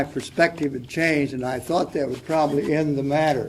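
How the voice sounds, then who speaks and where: Here a man talks at a fairly high pitch, with audible room echo. Noticeable background noise is present too. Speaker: panelist. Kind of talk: panel discussion. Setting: stage with audience.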